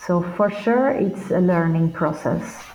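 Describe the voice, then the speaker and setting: With a Portuguese accent, a woman speaks at a very slow pace in a dark, mellow tone that is somewhat breathy. Her pitch sits at medium level with ordinary pitch variation. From Brazil. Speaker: performing artist and teacher. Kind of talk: interview. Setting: remote call.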